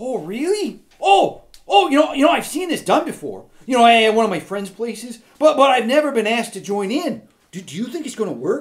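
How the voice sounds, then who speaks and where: A man's cartoonish character voice, extremely high-pitched, at a moderate pace. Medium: puppet show. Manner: friendly, hesitant, lots of "you know".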